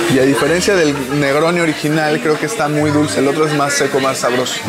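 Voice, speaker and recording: A man's speech keeps a moderate pace while clear music plays in the background. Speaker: drink vlogger. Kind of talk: casual vlog chat. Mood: relaxed, amused. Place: bar. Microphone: lapel.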